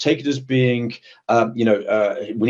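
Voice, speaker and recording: A man talks at a fairly quick pace. He has a British accent. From Britain. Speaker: executive protection professional. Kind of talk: webinar interview. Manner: hesitant, repeats words.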